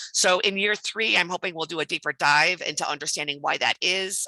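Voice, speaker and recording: Heard in a dry, close sound with no echo, a woman at a medium pitch has a bright, sharp tone and ordinary pitch variation. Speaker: harm reduction nonprofit director. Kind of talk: presentation at online meeting. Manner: fast; hesitant, many ums.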